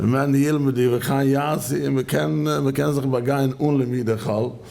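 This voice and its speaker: A man speaks with ordinary pitch variation. The recording has audible room echo and noticeable background noise. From Canada. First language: Yiddish. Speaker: rabbinical judge. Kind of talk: lecture. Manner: halting.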